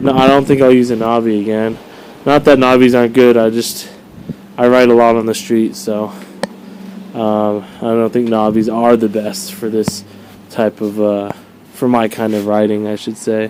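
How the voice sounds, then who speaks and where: Over noticeable background noise, a man speaks at a medium pitch and moderate pace, his intonation fairly even and broken by long, frequent pauses. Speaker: motorcycle vlogger. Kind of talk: casual video review. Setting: outdoors. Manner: casual with many fillers.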